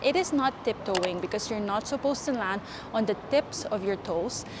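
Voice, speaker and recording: A woman with a non-native accent speaks at a moderate pace and a fairly high pitch, with ordinary pitch variation. Background noise is noticeable. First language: not English. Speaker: fitness youtuber. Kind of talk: tutorial. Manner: casual, chatty.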